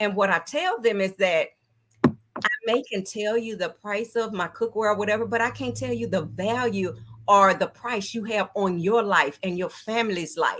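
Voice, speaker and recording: A woman with a medium pitch and ordinary pitch variation speaks at a moderate pace with vocal fry. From Texas, Dallas. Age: 60s. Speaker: cookware sales consultant. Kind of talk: interview.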